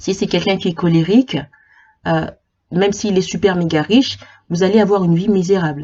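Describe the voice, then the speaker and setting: A somewhat breathy woman's voice at medium pitch, fairly quick in pace, with ordinary pitch variation and long, frequent pauses. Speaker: psychology YouTuber. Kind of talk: informal explainer video. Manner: halting, many repetitions and fillers.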